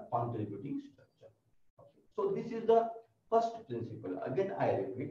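A man speaks over a quiet background. Audible room echo surrounds his voice. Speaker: college lecturer. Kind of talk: lecture. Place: classroom.

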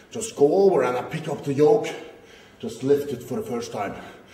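The room echo is audible. A man talks at a moderate pace. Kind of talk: casual explanation to camera. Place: gym. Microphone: phone near.

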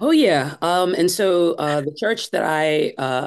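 Against a quiet background, a woman with an American accent speaks at a very deep, low pitch with ordinary pitch variation. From US Northeast, Brooklyn, New York. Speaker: church discipleship director and author. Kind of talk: interview. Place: home room. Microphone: video call.

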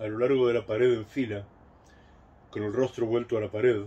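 A man speaks with a warm tone that is also dark and mellow. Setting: home recording, a solo video message. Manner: warm, reflective, conversational. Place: garden. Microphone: phone near.

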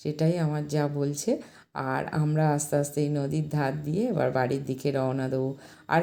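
A woman with a West Bengal accent speaks with a very deep, low pitch and a dark, mellow tone. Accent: West Bengal Bengali. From West Bengal, Taki (North 24 Parganas). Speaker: travel vlogger. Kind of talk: vlog narration. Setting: outdoors.

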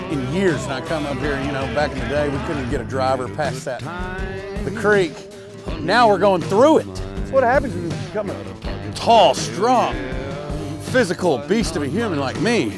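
A man talks with long, frequent pauses. The sound is dry with no echo, and clear music plays in the background. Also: moderate pace. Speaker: singer-songwriter. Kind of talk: casual banter on golf outing. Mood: playful, joking boastful. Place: open country.

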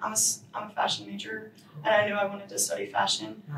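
Audible room echo and light background noise accompany the woman's speech. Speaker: guest. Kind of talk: interview answer. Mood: relaxed, chatty. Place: studio.

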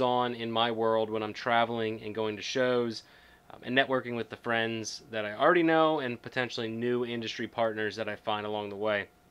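Moving at a fairly quick pace, a man talks with hardly any pauses. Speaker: vlogger. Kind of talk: casual vlog chat. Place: office.

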